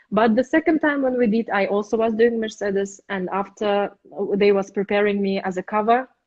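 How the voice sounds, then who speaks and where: A woman's voice in a Russian accent, with ordinary pitch variation. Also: medium pitch for a woman, fairly quick pace. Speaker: opera singer. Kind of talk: interview. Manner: halting.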